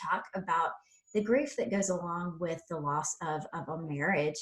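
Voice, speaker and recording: A woman talks at a moderate pace in an ordinary speaking voice, her pitch fairly low with ordinary pitch variation. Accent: American. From South Carolina. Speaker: podcast host. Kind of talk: interview.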